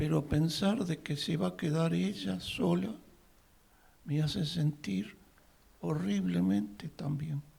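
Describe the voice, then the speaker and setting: At a very slow pace with long, frequent pauses, a man's somewhat breathy, dark, mellow voice sits fairly high in pitch and swings very widely. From Uruguay. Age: 80s+. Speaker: audience member at a talk. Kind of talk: public comment at a talk.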